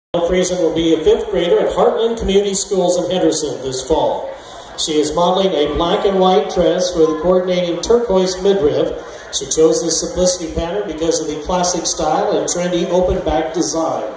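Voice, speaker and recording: Light background noise and audible room echo accompany a man's high-pitched voice, which moves at a fairly quick pace with fairly even intonation. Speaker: show announcer. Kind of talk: scripted event announcement. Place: tent.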